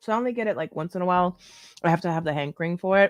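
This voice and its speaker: Music plays behind a woman with a fairly low voice. She speaks at a very fast pace in a dry, close sound with no echo. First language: not English. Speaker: mukbang streamer and podcast host. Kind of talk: casual chat while eating, livestream. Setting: live stream at home. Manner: animated.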